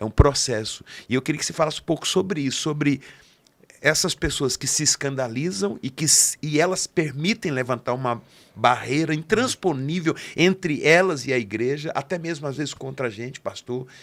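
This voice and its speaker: A man's fairly high-pitched, unremarkable speaking voice at a moderate pace, with ordinary pitch variation. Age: 60s. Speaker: podcast host and pastor. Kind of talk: interview conversation.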